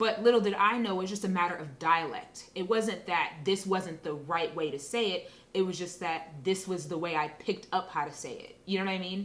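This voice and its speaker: A woman's medium-pitched voice, fairly quick with hardly any pauses and ordinary pitch variation, over noticeable background noise. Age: 30s. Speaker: interview guest sharing experiences of race. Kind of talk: casual interview conversation. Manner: conversational with frequent fillers.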